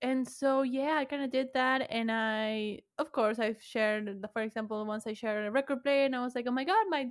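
A woman's high-pitched voice with a Spanish accent and ordinary pitch variation, music in the background. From Argentina. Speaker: podcaster. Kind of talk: casual chat. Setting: video call.

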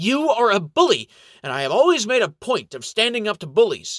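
A man does a put-on character voice, squeaky and nasal, with extremely high pitch, very wide pitch swings and big swings in loudness at a fairly quick pace. The recording is very clean with a silent background, and the sound is dry and close with no echo. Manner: trying to sound assertive.

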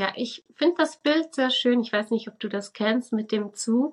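This woman has a fairly high pitch and an unremarkable speaking voice. She speaks at a moderate pace. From Switzerland. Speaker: religious educator and spiritual coach. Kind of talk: casual interview.

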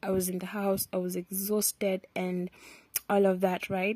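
A woman with a Kenyan accent, dark and mellow in tone, at a moderate pace, in a dry, close sound with no echo. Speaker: podcaster. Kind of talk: casual monologue. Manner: switches between English and Swahili.

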